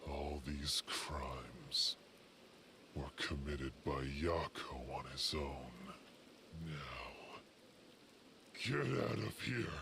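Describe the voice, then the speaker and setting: In a put-on character voice with a sinister tone, the speaker moves at a very slow pace, pausing long and often over clear background noise. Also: man, very deep, low pitch for a man. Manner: creepy, sinister.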